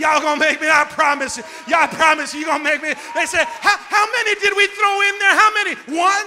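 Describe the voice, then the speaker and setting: A man's raised, projected voice, extremely high in pitch, at a fairly quick pace with ordinary pitch variation, over noticeable background noise. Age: 30s. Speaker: pastor. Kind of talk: impassioned Pentecostal-style sermon climax, call-and-response with congregation. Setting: church sanctuary with congregation. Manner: rising, emphatic preaching cadence with repeated phrases; dramatic storytelling, acting out characters' voices.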